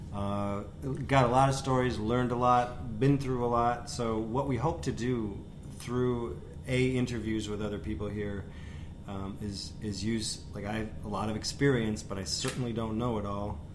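An American-accented man at a medium pitch, moderate pace and ordinary pitch variation, with audible room echo. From US Midwest, Wisconsin (West Bend). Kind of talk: casual chat.

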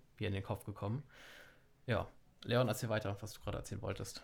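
A fairly low-pitched man, somewhat breathy and monotone, at a very fast pace broken by long, frequent pauses. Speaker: podcast co-host. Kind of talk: casual chat.

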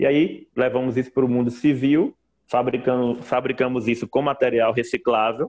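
Speaking at a moderate pace and medium pitch, a man has a plain, everyday voice. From Brazil, Northeast (Mossoró, Rio Grande do Norte). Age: 30s. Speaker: entrepreneur, engineer. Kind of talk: interview.

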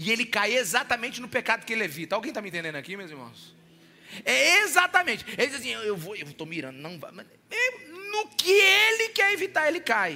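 At a fairly quick pace, a man talks with big swings in loudness. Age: 40s. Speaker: pastor. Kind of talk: sermon.

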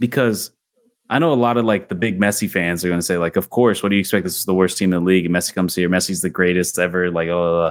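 Very deep and low, a man's voice moves at a very fast pace with fairly even intonation. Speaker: podcast host. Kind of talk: casual sports podcast chat. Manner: casual, interrupts often.

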